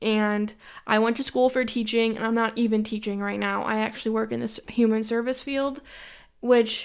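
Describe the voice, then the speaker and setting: In a very clean recording with a silent background, a woman with a Western New York accent speaks at a moderate pace, her fairly high pitch in monotone, flat intonation. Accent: Western New York American. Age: 20s. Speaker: podcast host. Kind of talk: casual monologue.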